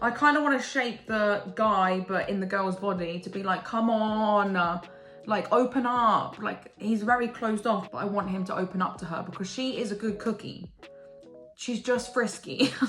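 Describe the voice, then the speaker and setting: A woman with an English accent speaks in an animated tone at a moderate pace, her pitch varying an ordinary amount. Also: medium pitch for a woman. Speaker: book and manga reviewer. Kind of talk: casual monologue, tier-ranking video. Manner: animated, excitable.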